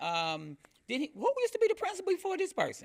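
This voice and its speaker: A man talks at a moderate pace. The recording is very clean, with a silent background. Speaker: school principal. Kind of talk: panel discussion. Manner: loud.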